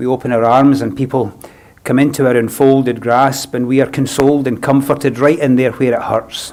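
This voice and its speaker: With a Scottish accent, a man speaks at a medium pitch. His pace is moderate and his intonation monotone and flat. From Scotland. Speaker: funeral celebrant. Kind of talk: funeral address. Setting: funeral service, live streamed. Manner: formal.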